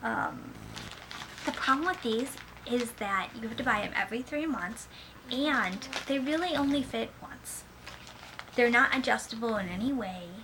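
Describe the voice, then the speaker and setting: A high-pitched woman speaks at a fairly slow pace with lively intonation, and noticeable background noise runs underneath. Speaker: parent vlogger. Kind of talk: product review vlog. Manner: casual, filler-heavy.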